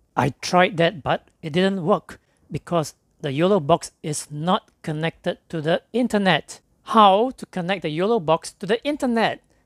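Speaking at a fairly slow pace, a man with a high voice comes through in a dry, close sound with no echo. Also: ordinary pitch variation.

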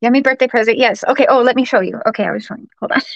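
A woman is speaking. The background is quiet. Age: 30s. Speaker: live streamer. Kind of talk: casual livestream chat to viewers; casual vlog chat. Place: home room. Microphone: phone near.

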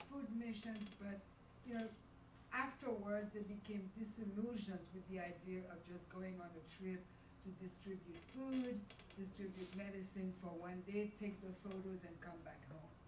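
A woman talks at a moderate pace with fairly even intonation. Noticeable background noise can be heard. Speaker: event moderator. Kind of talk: panel moderation. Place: hall.

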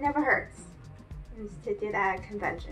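A woman talks at a moderate pace while faint music sounds behind her. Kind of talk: casual talk to camera. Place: home room. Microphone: camera far.

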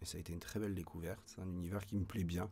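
The man's voice is very deep and low, with a dark, mellow tone. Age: 20s. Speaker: voice actor. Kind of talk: interview. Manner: hesitant, many fillers. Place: studio.

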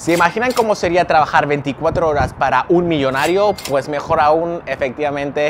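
With light background noise behind him, a man talks at a moderate pace with ordinary pitch variation. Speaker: vlogger. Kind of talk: casual vlog chat. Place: street. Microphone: lapel.

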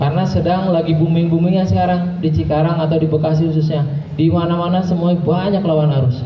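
Over light background noise with audible room echo, a man talks at a fairly quick pace in a high voice and an animated tone. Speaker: police officer presenting road safety material. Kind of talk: school outreach talk to students. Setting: school event with live audience. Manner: animated, engaging the crowd. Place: hall.

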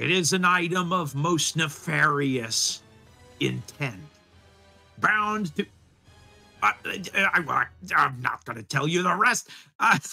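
A man's put-on character voice, high in pitch, at a very slow pace with long, frequent pauses and faint music in the background. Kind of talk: theatrical, archaic heroic speech. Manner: pompous, formal, then apologetic.

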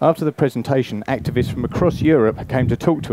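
A man talks at a fairly quick pace with ordinary pitch variation, the sound dry with no echo. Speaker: presenter. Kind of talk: lecture. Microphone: headset.

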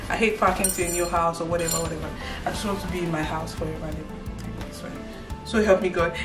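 A woman talks with clear music in the background. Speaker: vlogger. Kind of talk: casual vlog chat. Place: home room. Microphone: camera far.

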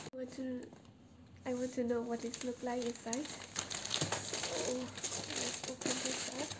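Over loud background noise, a woman talks at a very slow pace. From Myanmar. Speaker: first-time vlogger. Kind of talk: casual talk to camera. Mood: shy, excited. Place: home room. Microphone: camera far.

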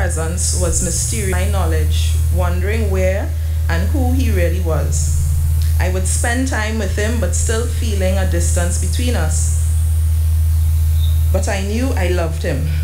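Music plays in the background. The speech has long, frequent pauses. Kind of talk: funeral tribute reading. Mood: emotional, somber. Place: church. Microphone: podium.

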